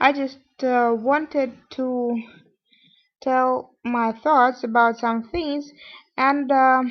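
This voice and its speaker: A woman with a non-native accent speaks at a high pitch in a monotone, flat intonation. Her pace is very slow, with long, frequent pauses. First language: not English. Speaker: vlogger. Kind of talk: personal vlog monologue. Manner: halting, many fillers.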